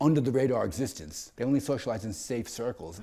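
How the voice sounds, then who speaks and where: A man talks at a very fast pace with vocal fry and a dark, mellow tone. The background is quiet. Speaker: interviewee. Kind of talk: interview answer. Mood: reflective, animated. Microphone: lapel.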